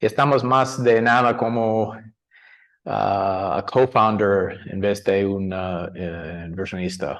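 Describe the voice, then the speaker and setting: A fairly low male voice with an American accent. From US, San Francisco. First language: English (speaking Spanish). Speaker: angel investor. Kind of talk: panel discussion. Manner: halting, many fillers and restarts.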